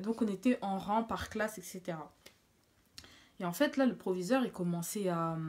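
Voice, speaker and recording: The woman's pitch sits in the medium range and varies in an ordinary way. She leaves long, frequent pauses. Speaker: beauty vlogger. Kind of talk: storytime vlog. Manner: speaking quietly; casual, hesitant with fillers.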